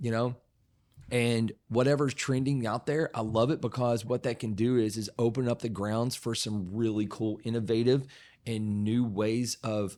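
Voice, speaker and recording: This man speaks with an Appalachian accent at a moderate pace and a medium pitch. The recording is very clean, with a silent background. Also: fairly even intonation. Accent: Appalachian Southern US. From Southeastern Kentucky, Appalachian foothills. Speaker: whiskey distiller. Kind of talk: casual chat. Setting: studio.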